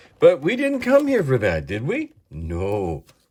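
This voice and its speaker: Here a man speaks with a somewhat breathy voice. His pitch swings very widely at a fairly slow pace. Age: 60s. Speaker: toy collector youtuber. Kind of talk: unboxing video. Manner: animated.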